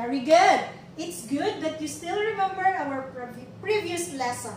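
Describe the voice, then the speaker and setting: At a moderate pace, a woman speaks in a high pitch amid audible room echo and light background noise. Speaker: teacher giving a demo lesson. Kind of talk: classroom lesson. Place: classroom. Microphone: camera far.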